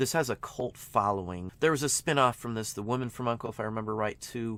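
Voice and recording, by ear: A man at a fast pace, medium pitch, ordinary pitch variation and a fairly bright tone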